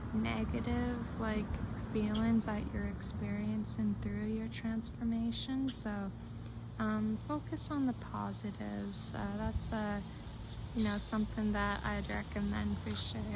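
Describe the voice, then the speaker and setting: A soft-spoken woman whispering at a fairly slow pace, with noticeable background noise. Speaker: tarot reader. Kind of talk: soft-spoken tarot reading to camera. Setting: outdoors. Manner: soft-spoken, occasional whispers.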